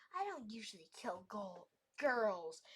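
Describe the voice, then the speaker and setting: A woman growls in a put-on character voice at a medium pitch and a fairly slow pace. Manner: growling.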